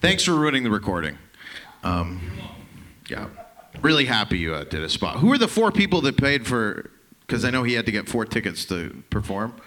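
A man of medium pitch with a Canadian accent talks at a fairly quick pace with very wide pitch swings and long, frequent pauses. Noticeable background noise can be heard. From Canada. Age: 30s. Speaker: comedian. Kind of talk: stand-up. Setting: stage with audience.

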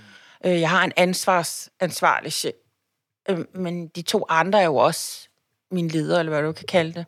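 A woman with a fairly low pitch speaks fairly slowly with long, frequent pauses, monotone, flat intonation and big swings in loudness, in a very clean recording with a silent background. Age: 50s. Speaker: labour market policy consultant, cancer survivor. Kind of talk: interview about personal illness. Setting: office lunchroom.

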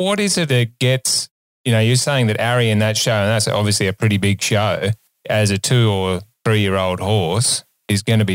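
In an Australian accent, the speaker keeps a moderate pace with fairly even intonation and very even loudness, in a dry, close sound with no echo on a very clean recording with a silent background. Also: man. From Australia, Sydney. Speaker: vet and co-host. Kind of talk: casual chat. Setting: studio.

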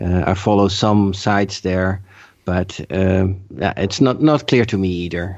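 A man speaks with a very deep, low pitch and ordinary pitch variation. The background is quiet. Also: fairly slow pace. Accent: Dutch. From Netherlands. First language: Dutch. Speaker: podcast listener and patron. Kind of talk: casual chat. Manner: halting.

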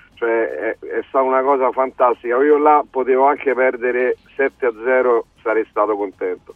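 Music runs in the background. A man speaks over it at a moderate pace. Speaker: caller, football fan. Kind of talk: phone-in call.

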